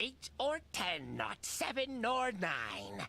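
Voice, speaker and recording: A shrill, sinister put-on character voice at a fairly high pitch drags along at a very slow pace. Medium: game stream. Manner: sinister, unhinged.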